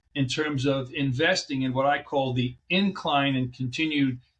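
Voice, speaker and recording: The pace here is moderate. It's a normal speaking voice. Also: man. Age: 60s. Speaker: chiropractic physician. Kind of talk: interview.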